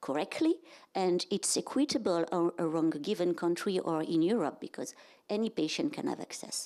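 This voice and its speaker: With a French accent, a woman speaks at a fairly quick pace and a fairly low pitch. The recording is very clean, with a silent background. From France. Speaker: health economics and reimbursement director. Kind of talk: conference presentation. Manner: halting.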